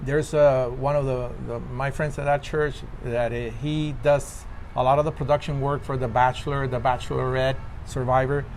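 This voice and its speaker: A man's medium-pitched, flat monotone at a moderate pace, with a Spanish accent. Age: 50s. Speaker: actor. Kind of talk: interview. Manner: halting.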